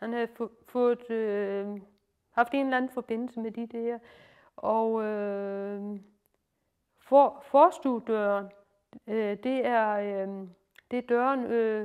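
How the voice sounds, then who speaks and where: With a Lolland accent, a woman speaks at a fairly high pitch and a very slow pace, her intonation fairly even and broken by long, frequent pauses. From Lolland, Denmark. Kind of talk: informal retelling and explanation. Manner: hesitant, many fillers.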